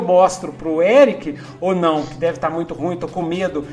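Noticeable background noise sits behind a man's voice. He speaks at a fairly quick pace in an animated tone. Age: old. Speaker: podcast host, writer. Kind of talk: casual chat.

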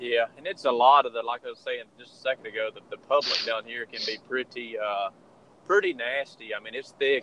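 A man with a Southern US accent, at a moderate pace. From Georgia, US South. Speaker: turkey hunter and calling champion. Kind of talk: casual interview chat.

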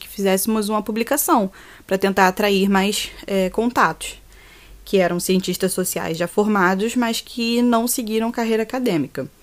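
On a very clean recording, silent background, a woman in a normal speaking voice talks at medium pitch and a moderate pace, with ordinary pitch variation. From Rio de Janeiro, Brazil. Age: 20s. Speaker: university student. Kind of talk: podcast interview.

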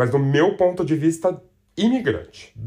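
A man's speech at a moderate pace, full of very wide pitch swings. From Brazil. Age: 40s. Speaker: podcast host. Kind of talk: casual monologue.

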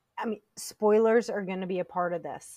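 Heard in a dry, close sound with no echo, a woman of medium pitch uses a plain, everyday voice, keeping a fairly even intonation at a moderate pace. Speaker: podcast co-host. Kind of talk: casual chat.

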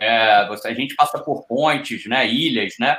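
This man has an ordinary speaking voice, fairly high in pitch, and he speaks at a fairly slow pace. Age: 50s. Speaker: ultra-distance athlete. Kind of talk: casual chat.

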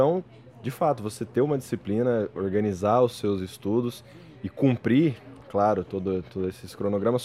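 A man with a plain, everyday voice, fairly low in pitch, at a moderate pace with ordinary pitch variation. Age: 20s. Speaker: history master's student. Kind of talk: casual chat.

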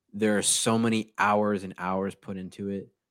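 A man with an American accent has a normal speaking voice. His pitch is fairly low and his pace fairly slow. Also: very clean recording, silent background. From Connecticut, Newtown. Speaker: English teacher and podcaster. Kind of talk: casual interview chat.

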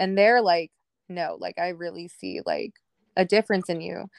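A woman speaks at a moderate pace. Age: 20s. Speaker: guest sharing recovery story. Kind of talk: personal testimony.

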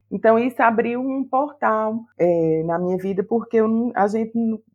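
A woman's pitch rises and falls in an ordinary way. She speaks at a fairly slow pace. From Paraíba, Campina Grande. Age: 40s. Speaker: writer. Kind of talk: interview.

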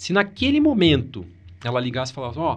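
Somewhat breathy, a man speaks at a very fast pace with very wide pitch swings. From Brazil, Paraná (Maringá). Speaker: oncologist. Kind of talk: interview conversation.

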